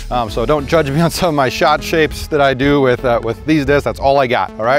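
A man talks at a fairly quick pace over faint background music, the sound dry with no echo. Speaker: disc golf video host. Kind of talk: casual vlog chat. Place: open country. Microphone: lapel.

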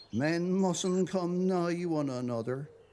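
Delivered at a very slow pace in a Dorset accent. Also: man. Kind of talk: poetry reading. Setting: television programme.

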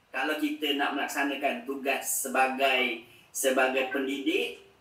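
This clip features a man talking. The room echo is audible. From Malaysia. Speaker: religious education official; speaker, educator. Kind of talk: formal speech. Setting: video call. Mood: warm, thankful.

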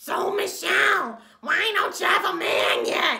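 This put-on character voice is raspy and croaky, pitched extremely high, and moves at a fairly slow pace. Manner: prying, nosy.

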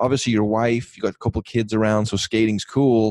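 Fairly quick speech from a man with a dark, mellow tone, dry and echo-free, against a quiet background. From England. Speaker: podcast host and missionary pastor; podcast host, missionary pastor. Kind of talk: casual chat. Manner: fast. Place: home room. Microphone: studio mic.

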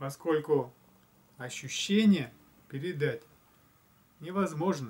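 A man speaks at a very slow pace in a somewhat breathy, fairly high voice with ordinary pitch variation. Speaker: spiritual blogger; video blogger. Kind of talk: reflective monologue. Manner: hesitant with fillers. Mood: calm, thoughtful. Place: home room. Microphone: camera far.

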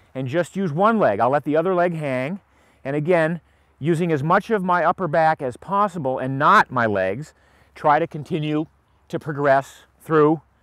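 A man at a moderate pace with ordinary pitch variation, a dry sound with no echo and a quiet background. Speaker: fitness instructor. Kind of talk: tutorial. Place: open country.

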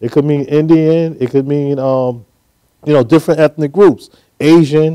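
A man with an American accent speaks in a dark, mellow tone and fairly even intonation against a quiet background. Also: moderate pace. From New York, Brooklyn; New York. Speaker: business leader and PR consultant; guest. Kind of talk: interview. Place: studio. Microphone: lapel.

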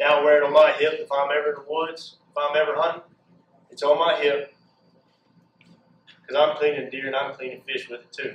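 This man's voice sits fairly high, moving at a fairly quick pace in a flat monotone, with big swings in loudness, long and frequent pauses, and audible echo in the room. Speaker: inspirational speaker; speaker. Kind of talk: motivational speech. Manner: passionate. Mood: earnest, faith-based. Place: hall. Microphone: camera far.

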